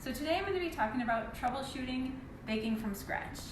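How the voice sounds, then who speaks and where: Soft-spoken and high-pitched, a woman talks at a fairly quick pace with ordinary pitch variation, amid noticeable background noise and audible room echo. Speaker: baking instructor. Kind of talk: live tutorial.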